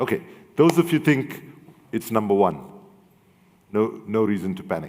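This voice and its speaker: A man speaks at a moderate pace with medium pitch. His pitch swings very widely. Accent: African. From South Africa. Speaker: human rights and environmental activist. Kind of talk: panel discussion with audience.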